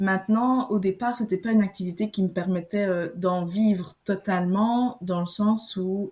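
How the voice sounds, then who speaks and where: A woman's dark, mellow, somewhat breathy voice, medium in pitch, at a fairly slow pace. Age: 20s. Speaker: naturopath. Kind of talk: podcast interview.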